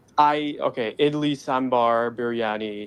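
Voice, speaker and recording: Against noticeable background noise, a man with an American accent talks at medium pitch with fairly even intonation. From Dubai, Middle East. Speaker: caller. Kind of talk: casual chat.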